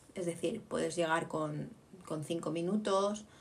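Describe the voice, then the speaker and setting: A woman speaks in an animated tone at a moderate pace. Room echo is audible. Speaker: podcast co-host. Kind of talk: casual chat.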